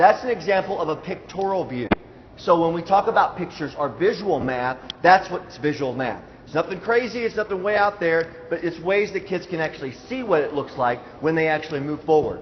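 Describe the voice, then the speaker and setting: A man's high-pitched voice with lively intonation over noticeable background noise. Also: fairly quick pace. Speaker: school math presenter. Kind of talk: presentation to parents. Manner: fast; hesitant fillers.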